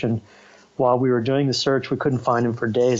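Fairly even intonation in a normal speaking voice. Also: man. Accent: American. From United States. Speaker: ocean conservation activist. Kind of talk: interview. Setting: video call. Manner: casual.

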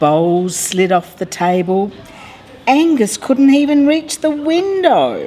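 A woman speaks at a very slow pace with very wide pitch swings over light background noise. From Australia. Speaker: mayor. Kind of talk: children's picture book read-aloud.

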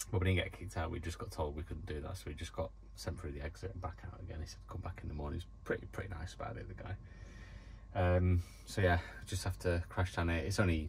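Very fast, with lively intonation, a man's very deep, low voice carries vocal fry over light background noise. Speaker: van life vlogger. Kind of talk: casual vlog chat. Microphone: phone near.

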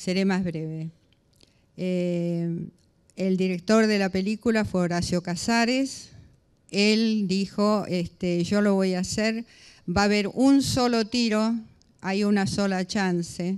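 A woman speaks at a very slow pace and medium pitch with fairly even intonation. The background is quiet. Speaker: former advertising creative director, psychologist. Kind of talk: panel discussion. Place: hall.

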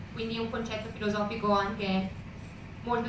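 A fairly quick pace amid noticeable background noise and audible room echo. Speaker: literary translator. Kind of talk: lecture talk to audience. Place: hall.

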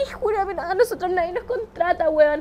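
A woman's extremely high voice, lively in intonation and fairly quick in pace, over noticeable background noise. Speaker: podcast co-host, social media influencer. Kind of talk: casual chat.

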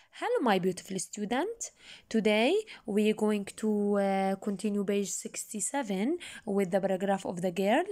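A woman speaks at a medium pitch with a dark, mellow tone and ordinary pitch variation, on a very clean recording with a silent background. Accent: Jordanian. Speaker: English teacher. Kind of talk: lesson with reading aloud. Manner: slow, repetitive didactic.

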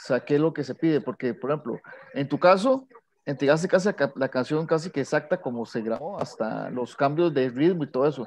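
This is an ordinary speaking voice. It keeps a moderate pace with ordinary pitch variation. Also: man. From Costa Rica. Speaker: composer. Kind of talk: Q&A question on video call.

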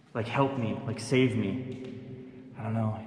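A man speaks with flat, monotone intonation. Audible room echo and light background noise surround his voice. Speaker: ghost-hunting vlogger. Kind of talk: commentary. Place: tunnel cave. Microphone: phone near.

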